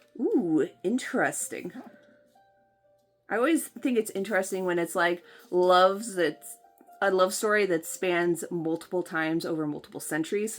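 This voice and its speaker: Speech at a moderate pace with long, frequent pauses and music in the background. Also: woman, medium pitch for a woman, ordinary pitch variation. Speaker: book vlogger. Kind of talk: casual talk to camera, unboxing video.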